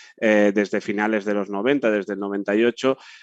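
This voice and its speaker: A man speaks in a fairly low pitch with monotone, flat intonation. The sound is dry and close, with no echo. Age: 30s. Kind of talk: panel discussion. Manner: halting.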